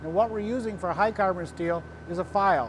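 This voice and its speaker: There is noticeable background noise as a man talks. His pitch is high, with ordinary pitch variation. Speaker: welding product demonstrator. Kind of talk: tutorial. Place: workshop. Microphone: lapel.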